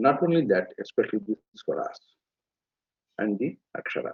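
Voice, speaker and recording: Moving at a fairly slow pace, a man speaks. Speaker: Veda scholar. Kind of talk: lecture. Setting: live webinar.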